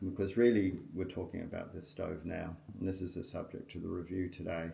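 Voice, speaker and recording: Pitched fairly low, a man speaks in a dark, mellow tone that is somewhat breathy, with ordinary pitch variation and audible room echo. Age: 60s. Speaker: outdoor gear reviewer. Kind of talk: product review tutorial. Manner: casual, hesitant with frequent ums.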